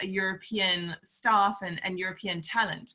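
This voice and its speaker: A woman with a Scottish accent speaks at a moderate pace, her medium-pitched voice bright and sharp in tone. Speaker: forum host. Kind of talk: panel discussion.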